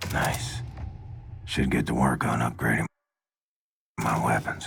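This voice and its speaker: In a put-on character voice, a man speaks fairly slowly with a raspy, very deep, low pitch. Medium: video game. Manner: low, grim.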